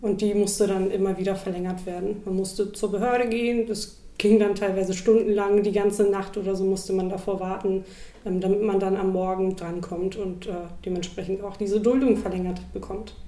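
Speaking at a medium pitch, a woman delivers her words in a flat monotone against audible room echo. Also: moderate pace. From Germany, Hamburg. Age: 20s. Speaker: activist. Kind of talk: interview.

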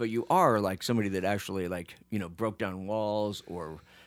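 A man's plain, everyday voice, fairly low in pitch, with a General American accent and a fairly quick pace, in a very clean recording with a silent background. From US, Phoenix. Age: 50s. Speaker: podcast host. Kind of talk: casual chat. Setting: studio.

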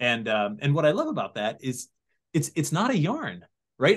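Using an American accent, a man with a fairly high voice and vocal fry speaks at a moderate pace. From Connecticut (Sandy Hook). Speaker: TV writer, producer and host on paranormal legends. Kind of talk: casual interview chat.

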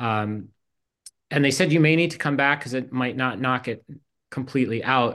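Here a man with a bright, sharp tone speaks at medium pitch and a moderate pace, with ordinary pitch variation. Long, frequent pauses break up his speech against a quiet background. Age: 50s. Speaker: college provost. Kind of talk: casual chat.

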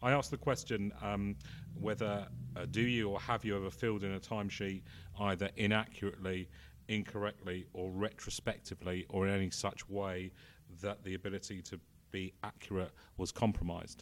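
Fairly quick and fairly low, a man talks in a plain, everyday voice with ordinary pitch variation. The recording is very clean, with a silent background. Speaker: PR agency founder. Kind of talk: interview. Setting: conference venue.

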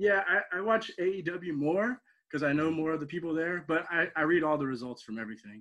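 A man with an American accent speaks at a fairly quick pace in a fairly high pitch. His tone is bright and sharp, with lively intonation. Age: 30s. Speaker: professional wrestler. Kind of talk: interview.

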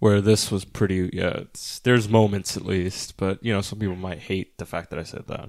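A man talks at a moderate pace with hardly any pauses. His pitch is fairly low and his intonation monotone and flat. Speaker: film podcast co-host. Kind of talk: casual chat.

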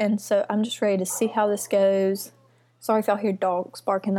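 Her tone dark and mellow, a woman at medium pitch speaks at a fairly quick pace. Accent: Mississippi. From Mississippi. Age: 20s. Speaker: podcast host and lifestyle blogger. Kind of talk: casual chat. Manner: animated.

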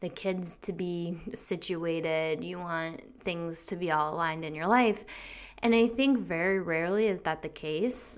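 The woman has a plain, everyday voice, pitched fairly low. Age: 30s. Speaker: podcast host, business coach. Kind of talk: solo monologue. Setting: home recording at computer. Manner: casual, many fillers and laughs.

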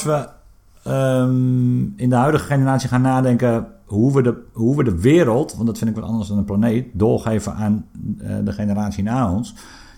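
A normal speaking voice at a fairly slow pace. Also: man. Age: 30s. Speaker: podcast co-host. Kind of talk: casual chat. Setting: studio.

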